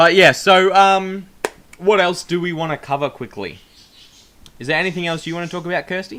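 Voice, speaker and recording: With an Australian accent and a high pitch, a man speaks at a fairly quick pace with fairly even intonation. He takes long, frequent pauses, and his loudness swings widely. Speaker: vlogger. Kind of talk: casual chat. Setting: home recording, shared mic. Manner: projecting.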